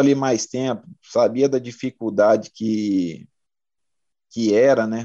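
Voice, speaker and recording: Against a quiet background, a man with a dark, mellow tone speaks very slowly in a dry, close sound with no echo. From Brazil, Mato Grosso interior. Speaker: retired football defender. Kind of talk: interview, casual chat. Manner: halting, many fillers.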